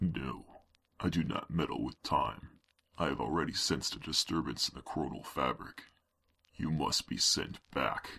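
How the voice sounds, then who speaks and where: Using a put-on character voice, a man talks at a moderate pace with a very deep, low pitch. Long pauses come often. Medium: audio drama. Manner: formal, solemn.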